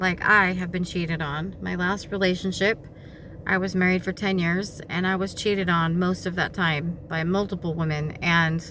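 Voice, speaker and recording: A woman speaks in a fairly low voice at a moderate pace. Her intonation is flat and monotone. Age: 40s. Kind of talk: casual talk to camera.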